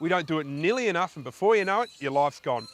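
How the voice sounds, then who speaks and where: Animated in tone, a man with an Australian accent speaks with lively intonation. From South Australia. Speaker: travel show host. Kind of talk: presenting to camera.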